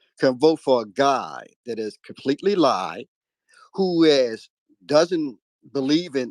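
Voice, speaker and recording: In a plain, everyday voice with ordinary pitch variation, the speaker goes at a fairly slow pace, the sound dry and close with no echo against a quiet background. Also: man. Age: 60s. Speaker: caller in a live audio discussion. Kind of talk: call-in political discussion.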